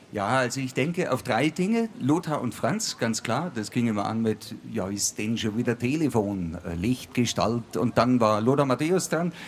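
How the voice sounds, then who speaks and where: A man with a medium pitch speaks at a fairly slow pace in an ordinary speaking voice, with hardly any pauses. His intonation is lively. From Bavaria, Ingolstadt. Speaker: comedian and musician. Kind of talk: live stage talk. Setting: outdoor stage with live audience.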